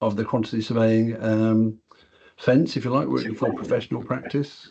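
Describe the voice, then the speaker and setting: A man with a British accent and a dark, mellow tone, fairly quick pace and fairly even intonation, against a quiet background. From England. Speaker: software product director and quantity surveyor; software trainer presenting. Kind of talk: webinar presentation. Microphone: video call.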